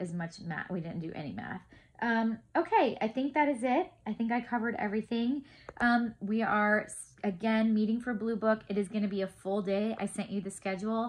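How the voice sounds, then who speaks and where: With a somewhat breathy voice, a woman talks at a medium pitch. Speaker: homeschool class tutor. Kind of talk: casual update video to parents. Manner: fast.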